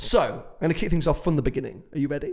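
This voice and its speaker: A man talks with a British accent. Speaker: podcast host and automotive YouTuber. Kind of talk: casual chat. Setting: office showroom. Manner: hesitant, many fillers.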